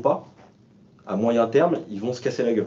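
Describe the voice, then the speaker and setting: Fairly quick in pace, a man speaks at a medium pitch. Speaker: sustainability manager at a company. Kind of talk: panel discussion. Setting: remote video call. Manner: fast.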